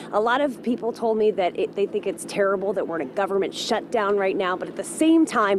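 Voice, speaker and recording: A woman is heard with noticeable background noise in a dry sound with no echo. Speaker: field news reporter. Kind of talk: live news report. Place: street. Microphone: handheld.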